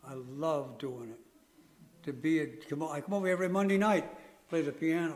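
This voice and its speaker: A man's fairly high voice with ordinary pitch variation, a fairly quick pace, long, frequent pauses and audible room echo. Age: 80s+. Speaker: folk dance musician. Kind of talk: casual talk at public forum. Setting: library forum with audience.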